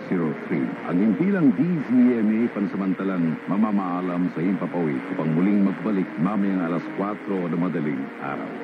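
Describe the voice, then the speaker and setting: Noticeable background noise sits behind this man. His very deep, low voice shows ordinary pitch variation. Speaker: radio station announcer. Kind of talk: station sign-off announcement, formal broadcast disclosure read aloud. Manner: formal, steady, brisk, rattling off license numbers.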